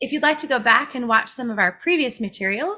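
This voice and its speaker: With a bright, sharp tone, a woman speaks at a fairly quick pace. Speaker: webinar host. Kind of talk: host introduction. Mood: warm, smiling. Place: home room.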